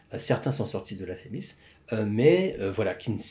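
A man with a fairly low, somewhat breathy voice speaks with ordinary pitch variation. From Quebec, Montreal. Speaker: film script supervisor. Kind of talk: casual interview. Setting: coworking space.

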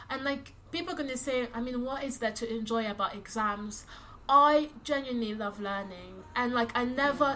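A woman with a London accent talks at a moderate pace. Her high voice has ordinary pitch variation. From London, UK (childhood partly in DR Congo). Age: 20s. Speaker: recent university graduate. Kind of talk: casual chat.

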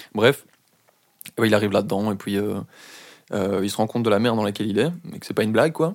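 This man speaks at a fairly low pitch. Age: 20s. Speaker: podcast guest. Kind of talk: casual chat.

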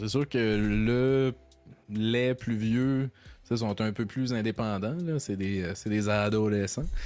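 With a Quebec accent, a man speaks at a very slow pace and medium pitch, with ordinary pitch variation. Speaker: streamer. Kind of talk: casual chat. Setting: live stream.

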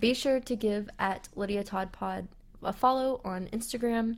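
A woman's voice at a moderate pace with fairly even intonation. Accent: Southern US. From US South, West Tennessee. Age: 20s. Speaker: podcast host. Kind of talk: casual solo podcast monologue.

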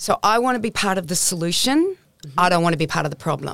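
A woman with an Australian accent talks at a fairly quick pace with lively intonation and vocal fry, in a dry, close sound with no echo. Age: 60s. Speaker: nutritionist. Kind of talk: interview. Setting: studio. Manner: animated.

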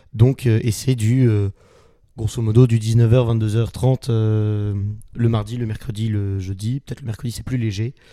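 Very slowly, a man speaks at a medium pitch in a dark, mellow tone with monotone, flat intonation. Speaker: student actor, theatre club vice-president. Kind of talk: casual interview.

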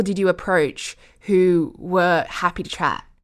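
A woman with an Australian accent, on a very clean recording with a silent background. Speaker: foreign correspondent. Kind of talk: conversational interview.

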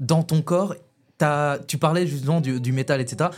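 Music in the background behind a man's moderately paced speech, his pitch varying in an ordinary way. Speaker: podcast host. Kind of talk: casual chat. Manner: informal, halting, colloquial.

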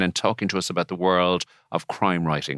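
A man with an Irish accent is heard in a dry, close sound with no echo. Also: very clean recording, silent background. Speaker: podcast host, barrister. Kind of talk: casual chat.

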